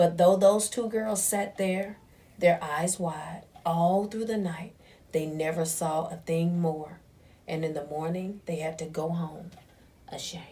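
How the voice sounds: With audible room echo, a woman speaks at a fairly slow pace in a fairly low pitch, using fairly even intonation and a dark, mellow tone.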